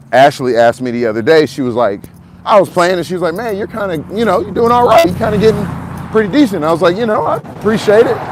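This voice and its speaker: A loud man talks at a very fast pace with a high pitch and very wide pitch swings. Noticeable background noise is present. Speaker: outdoors channel host. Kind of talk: casual walking live stream monologue. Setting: outdoors walking dog.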